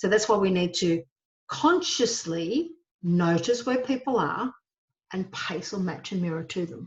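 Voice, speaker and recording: A somewhat breathy woman at a medium pitch, lively in intonation, at a fairly slow pace. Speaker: HR trainer. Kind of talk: webinar lecture. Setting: solo webinar recording.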